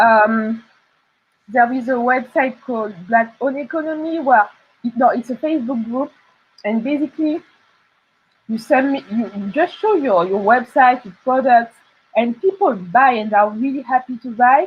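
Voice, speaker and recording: Speaking in a French accent at a moderate pace, a woman uses a high pitch with ordinary pitch variation and big swings in loudness. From France. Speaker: illustrator and artist. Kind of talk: interview. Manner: halting.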